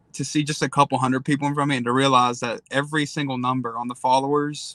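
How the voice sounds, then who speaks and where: A man with an East Tennessee accent speaks very fast in a fairly high, bright, sharp voice with monotone, flat intonation. The recording is very clean, the background silent. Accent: Southern (East Tennessee). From Eastern Tennessee, Tri-Cities. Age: 20s. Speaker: social media creator. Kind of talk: casual interview.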